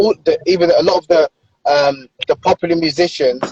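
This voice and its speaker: A man with a London accent talks at a high pitch and a fairly quick pace, with ordinary pitch variation. The sound is dry and close with no echo, and music plays in the background. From London, England. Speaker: author. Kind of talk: casual interview chat.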